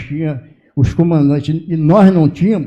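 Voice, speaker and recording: With a dark, mellow tone, a man speaks at a fairly high pitch with ordinary pitch variation. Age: 70s. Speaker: retired prison officer. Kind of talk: public hearing speech. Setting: legislative public hearing. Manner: halting.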